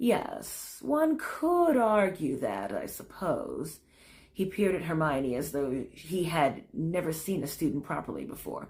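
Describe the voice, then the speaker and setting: Putting on a character voice, a woman speaks at a fairly low pitch and fairly slow pace with a wheezy sound. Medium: read story. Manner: flat drone, slow.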